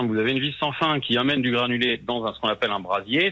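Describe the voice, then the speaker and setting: A man at medium pitch speaks at a very fast pace. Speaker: heating technician. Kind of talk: heated phone argument. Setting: phone call. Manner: defensive.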